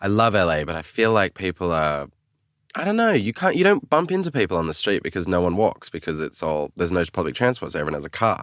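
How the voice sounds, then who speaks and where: A man with an Australian accent and a very deep, low pitch speaks very fast with lively intonation, in a dry, close sound with no echo on a very clean recording with a silent background. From Australia, Sydney. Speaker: singer-songwriter. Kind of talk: casual chat.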